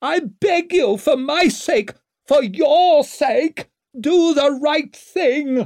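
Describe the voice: A man does a put-on character voice at an extremely high, shrill pitch with a slightly mellow tone and lively intonation. He speaks at a very slow pace on a very clean recording with a silent background.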